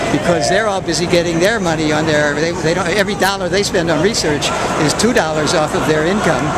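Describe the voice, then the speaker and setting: A man talks very fast in a high voice. Noticeable background noise runs underneath. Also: fairly even intonation, very even loudness. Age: 80s+. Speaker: venture capitalist. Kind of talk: interview answer. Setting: outdoors.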